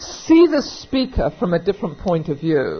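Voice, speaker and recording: A somewhat breathy woman speaks at a moderate pace. Her pitch swings very widely. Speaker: recovery meeting speaker; auctioneer. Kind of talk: recovery meeting talk, conversational and humorous.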